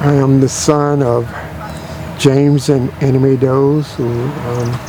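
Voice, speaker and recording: A man speaks at a medium pitch in an American accent, fairly slowly and in a flat monotone. Noticeable background noise sits behind him. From Florida (Winter Haven). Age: 70s. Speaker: local resident interviewee. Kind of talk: oral history interview. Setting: outdoors at a cemetery. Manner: many filler pauses.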